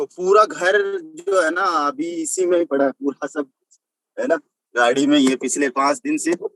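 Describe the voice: The tone is fairly bright, with fairly even intonation and a fairly slow pace. The sound is dry and close, with no echo. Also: man, fairly high pitch for a man.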